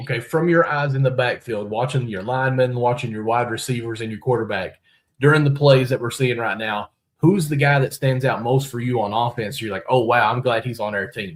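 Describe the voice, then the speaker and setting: Fairly quick, somewhat breathy speech from a man with a Kentucky accent, medium pitch and ordinary pitch variation. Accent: Kentucky hillbilly. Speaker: sports podcast host. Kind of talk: podcast interview.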